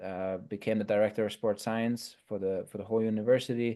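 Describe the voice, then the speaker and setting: In a German accent, a man speaks with fairly low pitch and a dark, mellow tone. His intonation is monotone and flat at a moderate pace, with a quiet background. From Germany. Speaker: sport scientist. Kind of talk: podcast interview.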